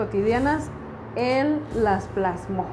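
Audible room echo plus noticeable background noise. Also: woman. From Mexico City. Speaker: podcast host, graphic designer. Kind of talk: casual chat.

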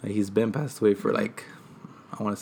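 Pitched at a medium level, a man's voice shows ordinary pitch variation. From Oxnard, Ventura County, California, after early childhood in Mexico. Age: 20s. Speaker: regional Mexican music singer. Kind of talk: casual interview.

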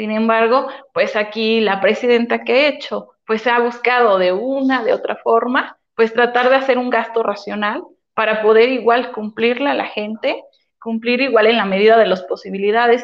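Using a plain, everyday voice, a woman speaks at a moderate pace in a fairly high pitch with fairly even intonation. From Puebla, Mexico. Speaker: municipal official. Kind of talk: interview.

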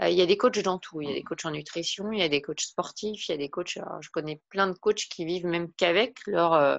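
Here is a plain, everyday voice with ordinary pitch variation. It moves at a moderate pace. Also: woman. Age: 40s. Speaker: wellbeing and personal development coach. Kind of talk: interview.

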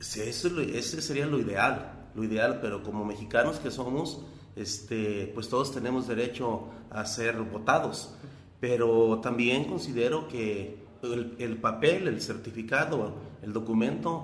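Amid noticeable background noise and audible room echo, a man speaks fairly slowly at a medium pitch with ordinary pitch variation. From Jalisco, Mexico (Teocaltiche area). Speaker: mayoral candidate. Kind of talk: interview. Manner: halting.

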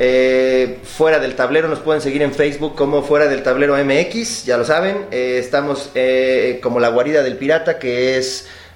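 Amid noticeable background noise and audible room echo, a man with a fairly high pitch talks at a moderate pace with ordinary pitch variation and hardly any pauses. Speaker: podcast host. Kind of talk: casual chat.

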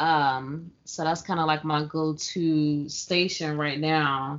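With a normal speaking voice, a woman talks at a fairly low pitch and with fairly even intonation. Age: 30s. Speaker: podcast co-host. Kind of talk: casual chat.

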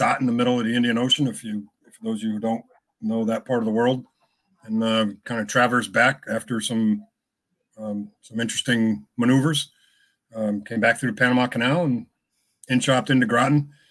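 A man with an American accent speaks in a normal speaking voice at medium pitch and a fairly quick pace. His loudness swings widely, and the recording is very clean with a silent background. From Connecticut. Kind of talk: casual interview.

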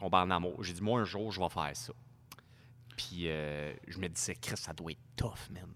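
A man with a Quebec accent, a very deep, low pitch and a fairly slow pace. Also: big swings in loudness. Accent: Québécois French. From Quebec, Montreal area (Saint-Léonard). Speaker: car dealership worker and drifter. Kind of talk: casual chat.

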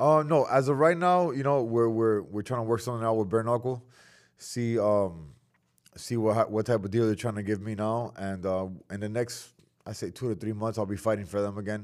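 In an unremarkable speaking voice, a man with an American accent talks at a fairly quick pace. His medium pitch has ordinary pitch variation on a very clean recording with a silent background. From Miami, South Florida. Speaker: professional fighter. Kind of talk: casual chat.

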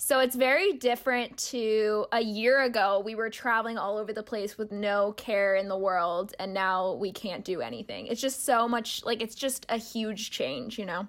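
A woman with an unremarkable speaking voice talks at a moderate pace, with hardly any pauses. Her pitch is fairly high with ordinary variation, on a very clean recording with a silent background. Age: 20s. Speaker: podcast co-host. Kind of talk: casual chat.

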